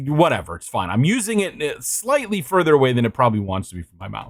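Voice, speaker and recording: Very wide pitch swings in a fairly high male voice. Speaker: vtuber streamer. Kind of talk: casual live stream chat. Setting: live stream at home. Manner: loud when excited; halting, many restarts. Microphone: studio dynamic mic mounted far from mouth, high gain.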